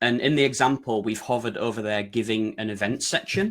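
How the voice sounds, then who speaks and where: A man with a British accent, medium pitch, ordinary pitch variation and a fairly quick pace. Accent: broad UK. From Yorkshire, northern England. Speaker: website design consultant presenting. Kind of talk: webinar presentation. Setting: online webinar.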